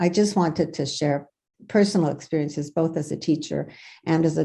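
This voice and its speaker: Against a quiet background, a woman speaks at a moderate pace in a very deep, low voice with vocal fry, a dark, mellow tone and fairly even intonation. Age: 70s. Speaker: retired teacher, daughter of Holocaust survivors. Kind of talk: audience comment in video meeting Q&A. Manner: halting.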